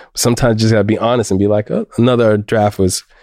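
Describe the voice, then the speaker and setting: An ordinary speaking voice from a man, fairly low in pitch with fairly even intonation, dry and close with no echo on a very clean recording with a silent background. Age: 30s. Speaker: fiction writer and high school teacher. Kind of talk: casual interview chat.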